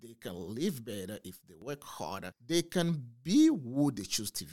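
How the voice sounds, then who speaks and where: A man's fairly slow, vocal-fry voice with very wide pitch swings, dry and close with no echo, on a very clean recording with a silent background. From northern Togo, West Africa. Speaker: entrepreneur and coach. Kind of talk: interview podcast. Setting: studio.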